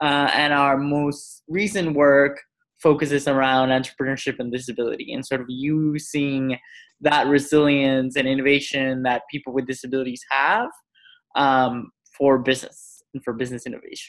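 Speaking at a moderate pace, a man uses a fairly high pitch and a monotone, flat intonation. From Mexico. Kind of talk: interview.

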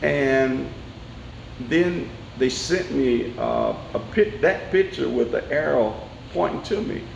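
A man with a Tennessee accent speaks at a very slow pace with long, frequent pauses, amid audible room echo and noticeable background noise. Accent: Southern American (Tennessee). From US South, Nashville, Tennessee. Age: 60s. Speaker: elected court official. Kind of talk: interview.

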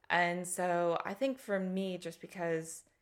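In a very clean recording with a silent background, a woman speaks with an American accent at a fairly slow pace. Her intonation is fairly even, and she has an unremarkable speaking voice. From US, Colorado. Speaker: freelance fundraising consultant. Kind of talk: interview.

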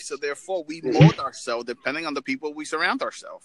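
A man with an American accent at a very fast pace, ordinary pitch variation, and noticeable background noise. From New York. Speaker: motivational speaker, military veteran. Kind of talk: casual chat.

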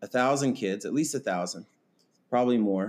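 A man speaks in a normal speaking voice with an American accent, his pitch medium. The recording is very clean, with a silent background. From Kansas. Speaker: teacher. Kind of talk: casual chat.

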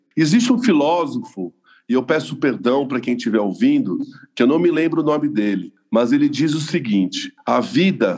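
Showing vocal fry, a man with a fairly high pitch makes very wide pitch swings. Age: 40s. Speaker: lawyer and spiritual seeker. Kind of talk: testimony.

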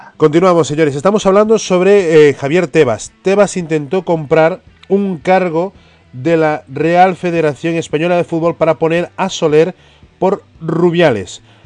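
A man with a high pitch speaks at a fairly slow pace. His pitch varies in an ordinary way. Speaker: radio football show host. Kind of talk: sports talk radio.

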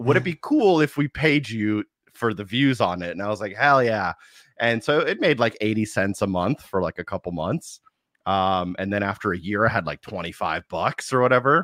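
On a very clean recording with a silent background and a dry, close sound with no echo, a man with a plain, everyday voice and fairly low pitch talks at a moderate pace with lively intonation. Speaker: podcast guest, content creator. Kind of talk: casual chat about video games.

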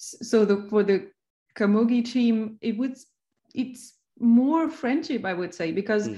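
The voice is somewhat breathy, with a dark, mellow tone. It moves at a fairly slow pace with ordinary pitch variation. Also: woman, fairly high pitch for a woman. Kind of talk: casual interview chat.

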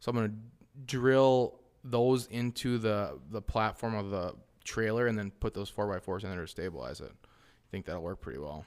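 Using an ordinary speaking voice with an American accent, a man with a fairly low pitch talks at a moderate pace with ordinary pitch variation and big swings in loudness. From Wisconsin. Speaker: hunting podcast host. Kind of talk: casual chat.

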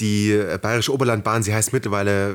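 The recording is very clean, with a silent background. A man of fairly low pitch speaks at a moderate pace. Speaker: podcast co-host. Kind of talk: casual chat. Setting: sitting very close to co-host on one mic.

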